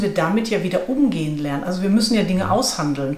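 Room echo and noticeable background noise surround a woman's voice. She speaks at a medium pitch with lively intonation. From Ruhr area, Germany. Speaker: management consultant and author. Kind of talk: interview conversation.

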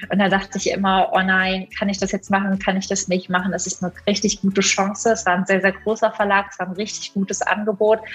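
Very fast and with hardly any pauses, a woman speaks at medium pitch in a flat monotone. Background noise is noticeable behind her. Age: 20s. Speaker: primatologist and author. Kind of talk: interview.

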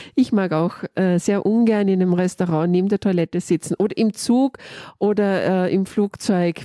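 Speaking at a moderate pace, a woman has a fairly low voice with a dark, mellow tone and ordinary pitch variation. The sound is dry and close, with no echo. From Austria. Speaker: podcast host, leadership coach. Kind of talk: interview.

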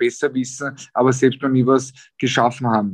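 The speaker is a man with a medium pitch. He talks at a fairly slow pace. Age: 30s. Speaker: professional boxer. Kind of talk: interview. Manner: hesitant, many filler sounds.

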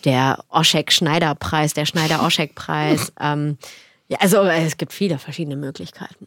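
In a very clean recording with a silent background and a dry, close sound free of echo, a woman speaks at a moderate pace in a very deep, low pitch. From Germany, Cologne area and Eifel. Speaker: actress and diversity campaigner. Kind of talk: podcast interview.

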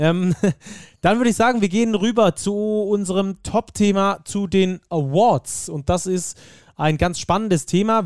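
On a very clean recording with a silent background and a dry, close sound with no echo, a man speaks at a fairly slow pace with ordinary pitch variation. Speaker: basketball podcast host. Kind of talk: casual chat.

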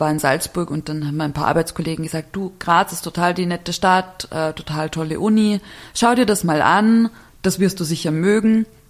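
A woman with an ordinary speaking voice and a fairly low pitch. She talks at a fairly quick pace, with ordinary pitch variation. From Bavaria, small village. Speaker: architect and writer. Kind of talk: casual interview.

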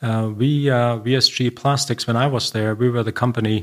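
Recorded very cleanly against a silent background, a man speaks at a moderate pace with a medium pitch and fairly even intonation. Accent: German. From Germany, Bavaria. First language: German. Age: 50s. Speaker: company CEO. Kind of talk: interview. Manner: soft-spoken.

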